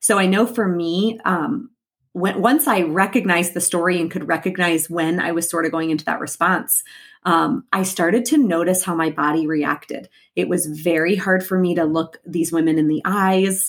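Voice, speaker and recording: A woman with an ordinary speaking voice, fairly low in pitch, at a moderate pace with ordinary pitch variation. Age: 30s. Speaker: podcast host and life coach. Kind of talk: solo podcast monologue.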